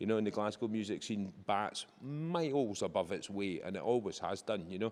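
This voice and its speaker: Speaking at a fairly quick pace, a man with a fairly low pitch talks with a Scottish accent. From Scotland. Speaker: sound crew member. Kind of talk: interview. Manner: animated.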